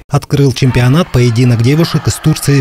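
A man talks with ordinary pitch variation while noticeable noise runs in the background. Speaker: news reporter. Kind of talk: news report narration.

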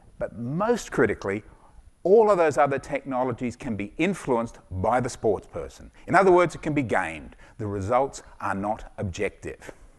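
With very wide swings in pitch, a man talks at a moderate speed in front of a quiet background. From Australia. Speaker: sports doctor and startup founder. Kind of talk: startup pitch with Q&A. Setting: stage with audience. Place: stage. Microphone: headset.

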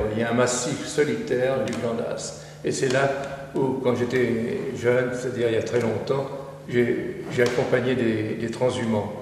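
A man talks over light background noise, with audible echo from the room. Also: ordinary pitch variation, fairly slow pace. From France, Drôme. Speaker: painter. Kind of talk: interview. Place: studio.

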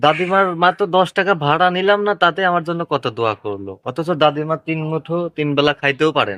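Against a quiet background, with a dry, close sound and no echo, a man talks in a bright, sharp tone at a fairly high pitch with lively intonation. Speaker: YouTuber and auto-rickshaw driver. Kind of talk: vlog narration and interview.

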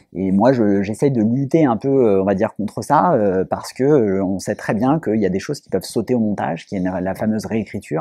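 Over a quiet background, a man speaks at a fairly quick pace with lively intonation. His tone is dark and mellow, and the sound is dry with no echo. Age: 30s. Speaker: film producer. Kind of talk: interview. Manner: hesitant, many fillers. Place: hall. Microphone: lapel.

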